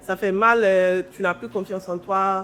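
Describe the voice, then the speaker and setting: A woman with a medium pitch, a plain, everyday voice and ordinary pitch variation. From Guinea. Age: 20s. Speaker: entrepreneur and content creator. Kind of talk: interview conversation.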